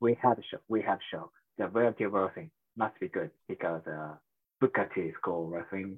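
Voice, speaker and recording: Speaking at a fairly quick pace, a man with a Japanese accent uses lively intonation in a fairly low voice. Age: 30s. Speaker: professional wrestler. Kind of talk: interview. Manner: halting.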